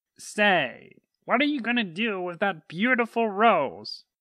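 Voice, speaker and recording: A put-on character voice with a fairly high pitch and a fairly slow pace, in a very clean recording with a silent background. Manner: mournful.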